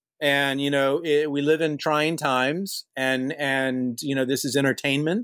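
In a very clean recording with a silent background, a man speaks with an American accent. His pace is moderate and his pitch variation ordinary. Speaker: film director. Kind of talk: interview. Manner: animated.

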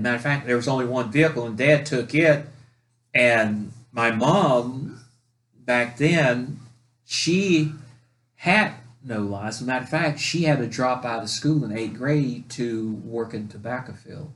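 In an ordinary speaking voice, a man with an American accent talks at a fairly slow pace, with medium pitch and ordinary pitch variation. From North Carolina. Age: 60s. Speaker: podcast co-host telling family stories. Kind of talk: casual chat, storytelling.

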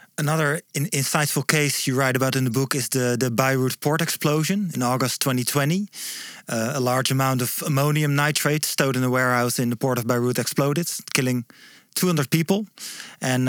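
A man with a medium-pitched voice talks at a fairly quick pace with fairly even intonation and very even loudness. The sound is dry and close with no echo. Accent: Dutch. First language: Dutch. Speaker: podcast host. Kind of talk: interview. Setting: studio. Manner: halting.

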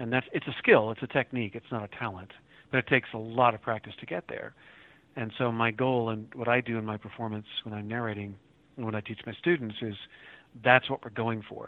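With an American accent, a man in an unremarkable speaking voice talks at a fairly quick pace and medium pitch, with fairly even intonation but big swings in loudness. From Oklahoma City area, US. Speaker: audiobook narrator and teacher. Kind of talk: interview.

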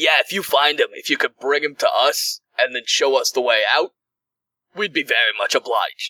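A man's put-on character voice in a Brooklyn accent, at a moderate pace. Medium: actual play.

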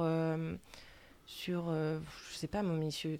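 The voice belongs to a woman with a dark, mellow tone. No noise at all can be heard, and the recording is very clean. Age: 20s. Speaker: nurse. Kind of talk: radio panel discussion. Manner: hesitant.

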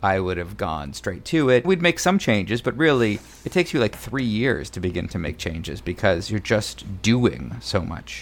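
With an American accent, a man talks at a fairly quick pace through noticeable vocal fry. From Arizona, Mesa near Phoenix. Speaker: theater artistic director. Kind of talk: interview.

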